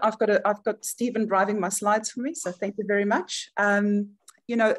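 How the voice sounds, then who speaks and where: A woman with a South African accent. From South Africa, Johannesburg. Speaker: charity chief executive. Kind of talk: webinar presentation. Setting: video webinar.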